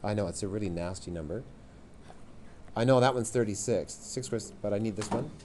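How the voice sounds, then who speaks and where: The pace is very fast, broken by long, frequent pauses. Room echo is audible, and the pitch varies in an ordinary way. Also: man, fairly low pitch for a man. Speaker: math teacher. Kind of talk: classroom lesson. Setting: classroom with students.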